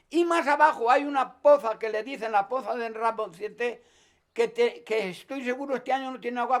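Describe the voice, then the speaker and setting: Speaking at a moderate pace, a man has an extremely high pitch with ordinary pitch variation. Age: 80s+. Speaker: forest worker, resin tapper. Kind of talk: interview answer.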